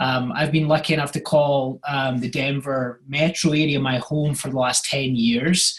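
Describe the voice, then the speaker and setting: A man with a Scottish accent speaks at a moderate pace in a monotone, flat delivery, somewhat breathy and with hardly any pauses. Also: fairly high pitch for a man. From Scotland. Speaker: real estate agent. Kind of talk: podcast interview.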